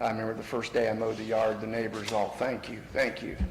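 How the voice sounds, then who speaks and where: Audible room echo follows a man with a medium pitch speaking in an American accent. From Indiana (Yorktown). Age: 60s. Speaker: homeowner applicant at zoning hearing. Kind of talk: public testimony at town meeting. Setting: meeting room at podium. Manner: casual with many fillers.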